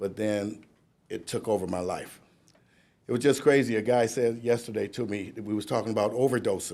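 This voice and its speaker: A man with an American accent speaks at a fairly quick pace. His medium-pitched voice has a dark, mellow tone and fairly even intonation. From Cleveland, Ohio. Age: 60s. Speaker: recovery speaker, sober house founder. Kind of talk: speech at a graduation ceremony, testimony. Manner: halting, with repetitions and fillers.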